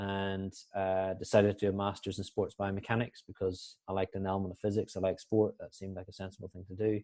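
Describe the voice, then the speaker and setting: A man with a Northern Irish accent and a dark, mellow tone speaks very fast in a monotone, flat intonation with big swings in loudness, the sound dry and close with no echo against a quiet background. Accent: Northern Irish, dense. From Northern Ireland. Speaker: sports performance analyst, guest lecturer. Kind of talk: online guest lecture. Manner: hesitant, many fillers.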